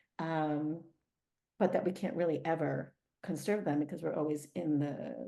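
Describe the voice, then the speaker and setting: A woman with an American accent speaks at a moderate pace, her pitch very deep and low and her tone dark and mellow. Vocal fry runs through her fairly even intonation. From United States. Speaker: dance artist and professor. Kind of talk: interview. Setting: video call. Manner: halting, many fillers.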